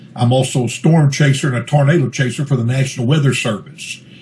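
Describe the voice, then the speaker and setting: A man talks at a fairly quick pace with fairly even intonation. His pitch is medium, and noticeable background noise is present. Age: 60s. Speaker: pastor and Bigfoot researcher. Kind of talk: interview. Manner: fluent, talkative.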